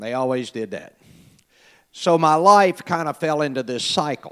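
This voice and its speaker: On a very clean recording with a silent background, a man with an American accent uses a normal speaking voice, lively intonation and a moderate pace. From US South (Mobile, Alabama), then Kansas City from 15. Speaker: church member sharing personal testimony. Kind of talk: testimony. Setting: church service.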